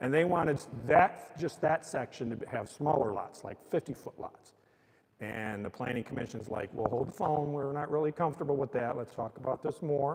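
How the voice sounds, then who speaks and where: An ordinary speaking voice from a man with an American accent, fairly high in pitch, with ordinary pitch variation and a moderate pace. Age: 60s. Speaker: mayor. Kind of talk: public talk explaining city business. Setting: old courtroom with live audience, streamed. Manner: casual and conversational.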